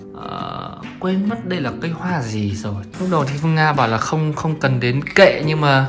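Fairly slow speech over clear music in the background. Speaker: vlogger showing her home. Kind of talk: casual vlog chat. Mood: cheerful, pleased. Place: home room. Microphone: phone near.

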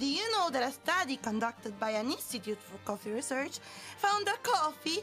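With music in the background, a woman speaks in a strong Italian accent at a high pitch and a moderate pace, her pitch swinging very widely. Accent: heavy Italian. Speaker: virtual streamer. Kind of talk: casual stream talk.

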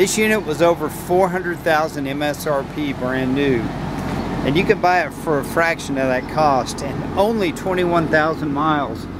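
A man speaks at a fairly slow pace with ordinary pitch variation. The sound is dry with no echo, but loud background noise is present. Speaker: vehicle salesperson. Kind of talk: sales walkaround commentary. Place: street. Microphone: phone near.

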